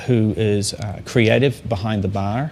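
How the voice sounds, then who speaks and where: Here a man talks at a moderate pace with a medium pitch. His intonation stays fairly even. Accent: New Zealand. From New Zealand. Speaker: master sommelier. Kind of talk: talk to an audience. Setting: talk to a company audience.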